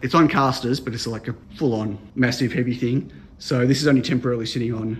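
A man is speaking. His voice is somewhat breathy. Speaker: maker vlogger. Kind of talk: casual vlog chat. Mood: excited, upbeat. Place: workshop. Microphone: phone near.

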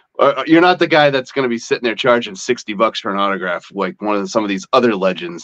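A man with an American accent speaks against a quiet background. His intonation is lively. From Massachusetts. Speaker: podcast host. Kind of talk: interview. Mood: friendly, enthusiastic. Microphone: webcam.

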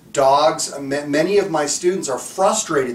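A man talks fairly slowly in a space with audible room echo. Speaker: dog trainer. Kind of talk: instructional talk to camera.

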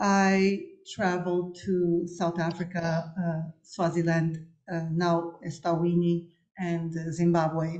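A woman with fairly low pitch at a very slow pace, quiet background. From Cabo Verde. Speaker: architect; architect lecturer. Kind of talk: lecture. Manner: halting, many fillers. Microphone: webcam.

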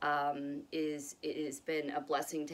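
Her voice sits very deep and low as the woman talks. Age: 40s. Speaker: video blogger sharing health journey. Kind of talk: casual vlog monologue. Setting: home with pets. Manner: hesitant, many fillers. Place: home room. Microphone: phone near.

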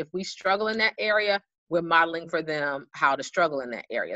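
This is a normal speaking voice at a fairly quick pace. Its pitch varies in an ordinary way. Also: woman. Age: adult parent. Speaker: school social emotional learning specialist. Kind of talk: online presentation for parents.

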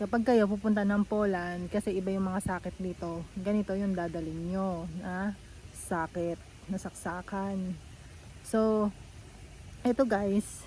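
Somewhat breathy, the voice carries a dark, mellow tone. The pace is fairly slow. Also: woman, medium pitch for a woman. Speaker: vlogger. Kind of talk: casual vlog tutorial. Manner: animated.

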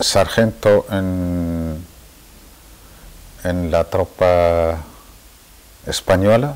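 A man speaks very slowly in a very deep, low pitch with ordinary pitch variation. His speech has long, frequent pauses. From Western Sahara, El Aaiún; Western Sahara. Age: 60s. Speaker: Saharawi independence activist; interviewee. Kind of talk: interview testimony. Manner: hesitant, with many fillers. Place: home room.

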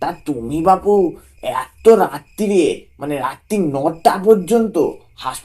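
Intonation here is lively. The text is read out loud in a natural voice.

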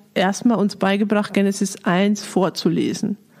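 In a flat monotone, a woman speaks at medium pitch with a dark, mellow tone. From Lower Bavaria, Germany. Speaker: director of a Bible society. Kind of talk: casual interview conversation.

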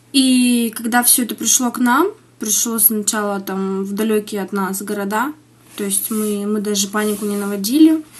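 A woman's somewhat breathy voice keeps a moderate pace and ordinary pitch variation. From Siberia, Russia (Iskitim, Novosibirsk region); Siberia. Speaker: interviewee, mother living abroad; interviewee. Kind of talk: news interview. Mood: earnest, concerned. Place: home room.

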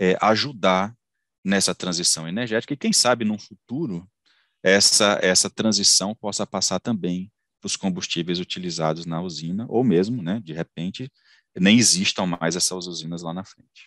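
Moderate pace with big swings in loudness and ordinary pitch variation, a dry sound with no echo and a quiet background. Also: man. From Ceará, Brazil. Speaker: engineer and company founder; engineer lecturer. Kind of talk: lecture. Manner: halting, many fillers and repetitions. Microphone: headset.

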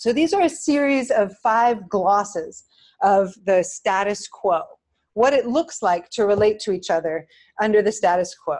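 Speaking fairly slowly in an ordinary speaking voice, a woman keeps a medium pitch and very even loudness while her intonation stays lively. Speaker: professor of philosophy and politics. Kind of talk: lecture; audience Q&A. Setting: lecture room with audience; recorded talk.

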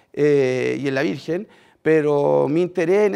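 This man has a dark, mellow tone and speaks with a Chilean accent. The background is quiet. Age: 30s. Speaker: former prisoner turned social worker; speaker. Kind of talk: testimony. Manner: halting, many fillers. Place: stage. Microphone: headset.

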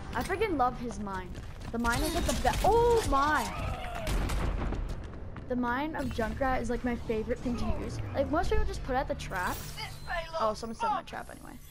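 A man talks at a moderate pace with long, frequent pauses over noticeable background noise. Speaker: gamer. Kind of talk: casual gameplay commentary. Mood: playful, self-deprecating.

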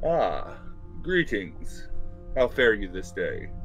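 Clear music plays in the background as a man in a booming, put-on character voice talks at a very slow pace. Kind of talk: archaic, formal. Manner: kind, benevolent.

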